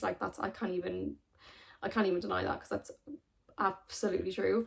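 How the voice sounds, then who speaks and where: A woman talks with an Irish accent. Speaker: sustainable fashion content creator. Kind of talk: casual talk to camera.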